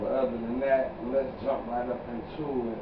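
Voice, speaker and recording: A man talks fairly slowly while noticeable background noise fills in behind him. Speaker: podcast host. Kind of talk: casual vlog chat. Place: home room. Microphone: camera far.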